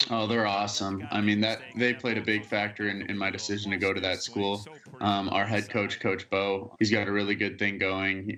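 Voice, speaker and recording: This man has a slight Alabama accent and a fairly low pitch, delivered with monotone, flat intonation. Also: moderate pace. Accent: slight Alabama accent picked up. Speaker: college baseball player. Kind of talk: interview. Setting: video call. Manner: halting, with fillers and repeated words.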